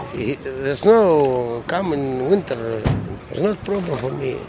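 With lively intonation and a very slow pace, a man talks over noticeable background noise. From Tunisia. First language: Arabic. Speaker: antiques dealer. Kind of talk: street interview. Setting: outdoors at a flea market. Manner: halting.

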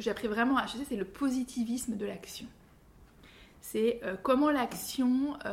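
A woman's voice at a fairly slow pace, with ordinary pitch variation. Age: 40s. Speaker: author and creativity consultant. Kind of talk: interview. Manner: halting.

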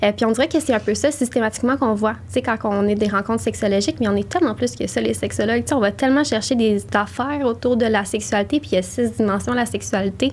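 A woman talks at a very fast pace. She hardly pauses at all. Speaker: sexologist. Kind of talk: interview.

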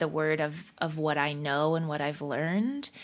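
A woman speaks with a very deep, low pitch and a bright, sharp tone. The recording is very clean with a silent background. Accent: General American. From Colorado, US. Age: 30s. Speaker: singer-songwriter and comedian. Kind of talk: interview conversation.

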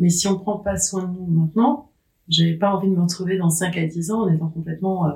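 Somewhat breathy and dark, mellow in tone, a woman speaks at a fairly quick pace with fairly even intonation. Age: 50s. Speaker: menopause author and social media account holder. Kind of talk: casual interview conversation. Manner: smiling.

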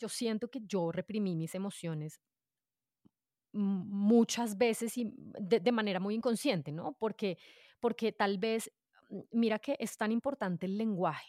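Delivery is fairly slow, in a dark, mellow tone. The pitch shifts in an ordinary way. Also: woman, medium pitch for a woman, dry, close sound with no echo, very clean recording, silent background. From Colombia, Bogotá. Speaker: podcaster. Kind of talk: casual interview.

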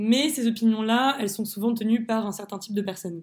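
Somewhat breathy and fairly high in pitch, a woman speaks with fairly even intonation on a very clean recording with a silent background. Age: 20s. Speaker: student sharing personal testimony. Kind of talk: testimony. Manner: hesitant with fillers.

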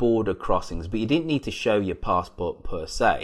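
Recorded very cleanly with a silent background, a man speaks with an English accent at a fairly low pitch. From England. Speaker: podcast host. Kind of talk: casual discussion.

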